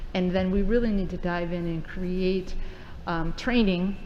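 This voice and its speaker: A woman speaks with a fairly low pitch. Room echo is audible. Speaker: school district administrator. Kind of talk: presentation to school board. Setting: board meeting. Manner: fast.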